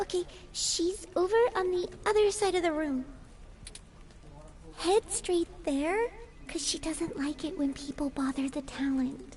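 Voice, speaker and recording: Over clear background noise, a put-on character voice at an extremely high pitch speaks with long, frequent pauses. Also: fairly slow pace. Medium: video game. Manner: hesitant, polite.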